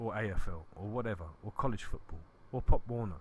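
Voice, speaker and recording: A man with a London accent speaks at a moderate pace, somewhat breathy. His intonation is fairly even. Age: 30s. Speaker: podcast host. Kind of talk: casual chat.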